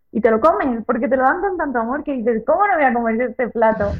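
A woman talks in a high pitch at a fairly quick pace. Her pitch variation is ordinary. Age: 30s. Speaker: long-distance cycle traveller. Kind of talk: interview.

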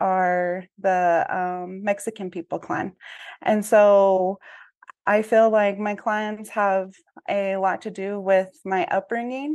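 A woman at medium pitch speaks very slowly in a monotone, flat delivery. The background is quiet. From Navajo Nation, near Gallup, New Mexico. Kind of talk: testimony.

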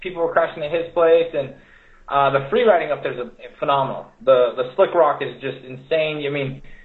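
In an unremarkable speaking voice, a man talks at a fairly quick pace and a fairly high pitch with ordinary pitch variation. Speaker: off-road racer. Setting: video call.

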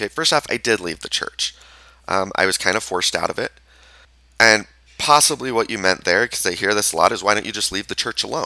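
A man's fairly low, bright, sharp voice at a very fast pace with ordinary pitch variation, in a dry, close sound with no echo. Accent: Utah. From Utah. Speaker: podcast host and therapist. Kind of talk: solo podcast monologue. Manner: halting, with many fillers.

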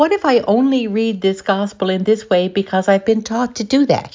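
A woman of medium pitch, an ordinary speaking voice. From Newfoundland, Canada. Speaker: lay missionary giving gospel reflection. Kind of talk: scripted gospel reflection.

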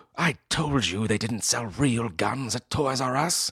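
In a put-on character voice, a man speaks fairly slowly at a medium pitch, with hissing audible.

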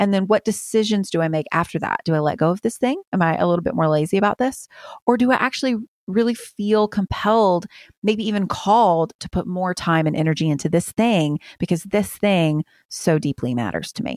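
A woman's medium-pitched, animated voice with lively intonation, at a fairly quick pace, in a dry, close sound with no echo. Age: 30s. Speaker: author. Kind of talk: interview.

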